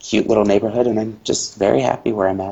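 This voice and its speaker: This man speaks with an American accent. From US Midwest, southeastern Indiana. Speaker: hotel food and beverage worker. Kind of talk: interview. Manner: halting, many fillers and restarts.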